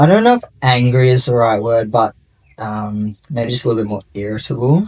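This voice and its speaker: In an Australian accent, a man talks at a medium pitch with ordinary pitch variation. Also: moderate pace. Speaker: interviewee sharing gender transition story. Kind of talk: interview.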